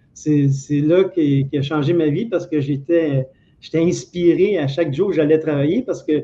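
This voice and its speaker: An unremarkable speaking voice moves at a fairly slow pace with ordinary pitch variation. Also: man. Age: 60s. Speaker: former telephone technician. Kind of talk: interview.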